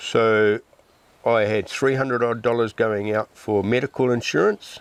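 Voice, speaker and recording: With a New Zealand accent, this voice moves at a moderate pace with ordinary pitch variation in a dry, close sound with no echo. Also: man. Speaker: off-grid homesteader. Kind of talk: casual interview.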